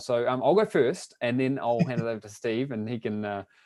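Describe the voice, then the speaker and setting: A man is speaking. He has a New Zealand accent. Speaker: online business coach. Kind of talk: webinar presentation. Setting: live webinar broadcast.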